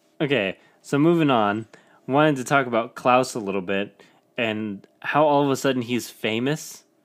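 Heard on a very clean recording with a silent background, a man with a plain, everyday voice speaks at a moderate pace in a medium pitch with ordinary pitch variation. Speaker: podcast host. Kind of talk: casual chat.

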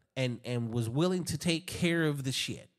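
On a very clean recording with a silent background, a man uses an ordinary speaking voice at a moderate pace with ordinary pitch variation. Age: 40s. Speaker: podcast host. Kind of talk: casual chat.

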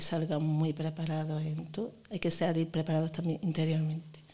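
A woman's fairly low voice with a strong Granada accent, dark and mellow in tone, at a moderate pace. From Granada, Spain. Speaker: primary school teacher. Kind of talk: interview.

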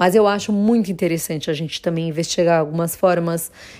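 Fairly low in pitch with fairly even intonation, a woman talks in an unremarkable speaking voice. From Brazil, Jundiaí (São Paulo state). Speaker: ceramic artist. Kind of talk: personal storytelling monologue.

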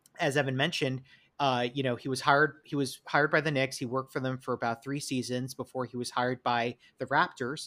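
A bright, sharp tone with fairly even intonation, in a New York accent. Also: man. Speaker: podcast host. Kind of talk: casual chat. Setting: remote recording.

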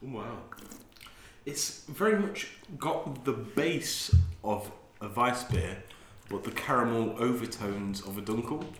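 A man with a medium pitch speaks with lively intonation and long, frequent pauses. Noticeable background noise is present. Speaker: podcast host. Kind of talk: casual chat.

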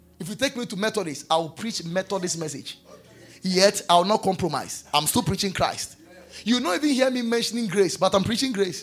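Animated in tone with lively intonation, a man speaks in a high pitch at a fairly quick pace over noticeable background noise. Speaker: pastor. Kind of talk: sermon.

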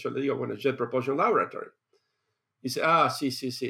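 A man speaks with a Rioplatense accent. His pace is fairly quick. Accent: Argentine Spanish (rioplatense). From Argentina. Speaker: space engineer. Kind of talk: interview. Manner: halting, many repetitions and fillers.

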